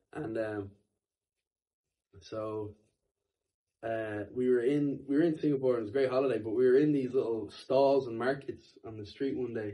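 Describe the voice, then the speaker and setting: With an Irish accent and a dark, mellow tone, a man speaks in fairly even intonation, leaving long, frequent pauses. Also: medium pitch for a man, moderate pace, big swings in loudness. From Ireland. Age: 20s. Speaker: musician. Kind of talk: casual chat.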